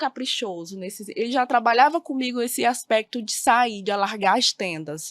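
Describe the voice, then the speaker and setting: On a very clean recording with a silent background and a dry, close sound with no echo, a woman speaks at a moderate pace with a high pitch and very wide pitch swings. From Brazil, Maranhão (Bacabal). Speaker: teacher. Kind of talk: podcast interview. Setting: studio.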